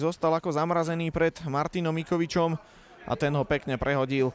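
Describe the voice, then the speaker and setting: A man's fairly high-pitched voice with an animated tone. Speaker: football commentator. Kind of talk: live sports commentary, play-by-play over match footage. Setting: studio voiceover over match highlights. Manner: animated, fast play-by-play delivery; informative, naming players and minutes rapidly.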